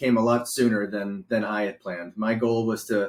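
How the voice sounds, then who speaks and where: A man speaks at a moderate pace and medium pitch with ordinary pitch variation. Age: 40s. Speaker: martial arts instructor. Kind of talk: interview. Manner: halting.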